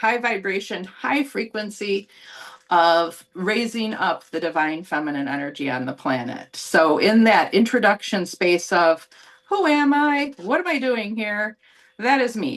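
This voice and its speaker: At a fairly slow pace, a woman with an American accent talks with very wide pitch swings. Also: medium pitch for a woman. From US, Buffalo, New York. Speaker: psychic channeler and healer. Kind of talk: presentation to a group.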